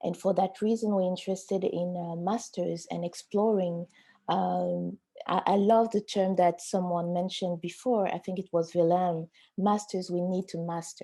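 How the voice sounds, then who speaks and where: A woman with a French accent speaks at a moderate pace in a medium pitch, her dark, mellow tone held in a monotone, flat intonation against a quiet background. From Africa (francophone). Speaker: auction house art specialist. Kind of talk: webinar panel discussion.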